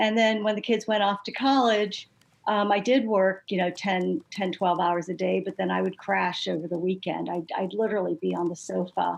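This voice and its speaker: In a normal speaking voice, a woman talks at a moderate pace and medium pitch with ordinary pitch variation and hardly any pauses. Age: 60s. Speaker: patient advocate, retired nurse. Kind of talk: panel discussion testimony.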